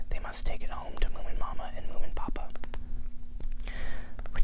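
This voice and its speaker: A man whispers, soft-spoken, at a fairly quick pace. Noticeable background noise runs behind him. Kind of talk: reading aloud from a book. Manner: soft-spoken, whispered; rambling, hesitant.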